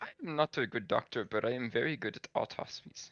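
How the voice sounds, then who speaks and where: The speaker is a man. He keeps a moderate pace. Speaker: tabletop roleplaying game player. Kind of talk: casual chat. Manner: trips over words, says them wrong.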